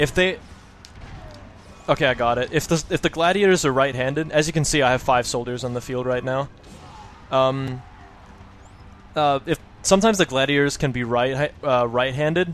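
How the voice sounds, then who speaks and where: A man's fairly high voice at a fairly quick pace, with ordinary pitch variation and long, frequent pauses, music in the background. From Denmark. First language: Danish. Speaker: video game speedrunner. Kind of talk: tutorial. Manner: fast; halting, many fillers.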